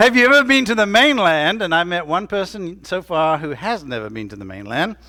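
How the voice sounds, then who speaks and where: In a raised, projected voice with an American accent, a man speaks at a moderate pace, his bright, sharp tone making very wide pitch swings on a very clean recording with a silent background. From Tennessee. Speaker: pastor. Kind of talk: sermon. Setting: church.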